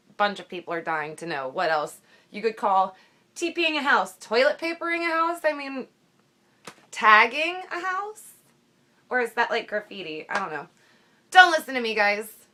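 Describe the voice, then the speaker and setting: A woman with an American accent speaks in a bright, sharp tone with very wide pitch swings, big swings in loudness, and long, frequent pauses. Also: fairly high pitch for a woman, moderate pace. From southern Ohio. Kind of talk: casual talk to camera.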